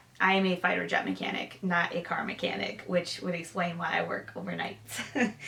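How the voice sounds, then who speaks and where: In an American accent, a woman speaks with a fairly low pitch. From Michigan. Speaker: sewing vlogger and fighter jet mechanic. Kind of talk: casual Q&A vlog.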